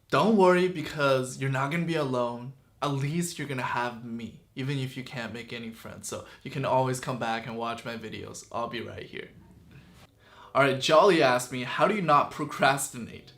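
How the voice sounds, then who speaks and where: A man with a Chinese accent speaks at medium pitch and a moderate pace, with ordinary pitch variation, big swings in loudness and audible room echo. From China (Chongqing), moved to Canada as a child. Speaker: YouTuber. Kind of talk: casual Q and A vlog. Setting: sitting in front of camera with a light.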